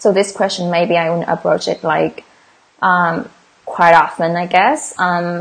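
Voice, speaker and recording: In a Vietnamese accent, a woman speaks at a fairly slow pace with a fairly low voice. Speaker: English exam teacher. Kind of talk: livestream tutorial. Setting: livestream. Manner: casual.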